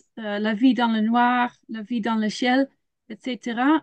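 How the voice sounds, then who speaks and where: A woman with a Dutch accent talks at a very slow pace and a fairly high pitch, with ordinary pitch variation and a dry, close sound with no echo. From Netherlands. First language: Dutch (speaking French). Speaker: children's ministry leader and biologist. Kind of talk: webinar presentation. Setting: video call. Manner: halting, many hesitations.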